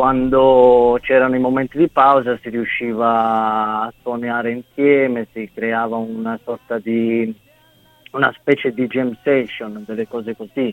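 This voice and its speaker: The delivery is monotone and flat, at a fairly slow pace. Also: man, medium pitch for a man. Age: 30s. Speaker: bandleader and singer. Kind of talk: interview.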